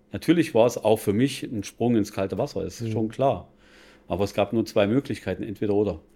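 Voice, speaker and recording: Here is a man with a plain, everyday voice, fairly low in pitch, with ordinary pitch variation. The recording is very clean, with a silent background. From Bavaria (Regensburg). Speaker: financial advisor. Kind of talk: casual interview. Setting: café.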